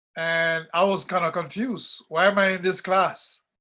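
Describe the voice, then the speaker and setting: Against a quiet background, a man with a bright, sharp tone speaks at a fairly slow pace with fairly even intonation. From Jamaica. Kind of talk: workshop discussion on video call.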